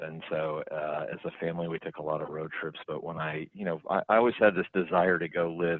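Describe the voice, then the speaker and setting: A man with an Oklahoma accent, very deep and low in pitch, with fairly even intonation at a moderate pace. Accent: Oklahoma (Okie). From Oklahoma, US (Stillwater). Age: 40s. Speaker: business CEO. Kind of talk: podcast interview.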